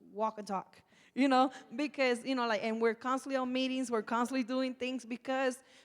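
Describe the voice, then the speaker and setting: A woman talks loudly in a high-pitched voice. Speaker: nonprofit community organizer, formerly incarcerated. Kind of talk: panel discussion.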